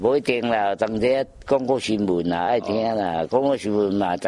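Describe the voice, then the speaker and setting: The intonation is lively. Noticeable noise sits in the background. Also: man. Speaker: elderly resident living alone. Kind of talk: casual chat. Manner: halting.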